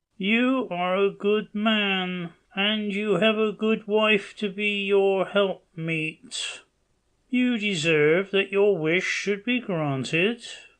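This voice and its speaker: A man uses a put-on character voice pitched high. He talks at a very slow pace. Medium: read story. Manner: solemn, measured.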